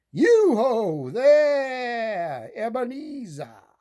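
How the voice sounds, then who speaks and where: The speaker uses a put-on character voice. The pitch swings very widely. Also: man, extremely high pitch for a man. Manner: jovial, calling out.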